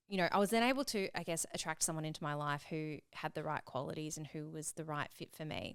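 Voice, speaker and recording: Her pace is fairly quick. The woman talks in an Australian accent. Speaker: podcast host. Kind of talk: casual chat.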